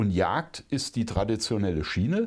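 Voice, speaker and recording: A man with an unremarkable speaking voice, fairly low in pitch, at a moderate pace, in a very clean recording with a silent background. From Rhineland-Palatinate, Germany (Bad Kreuznach). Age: 50s. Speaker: conservation and hunting association director, former politician. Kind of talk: podcast interview.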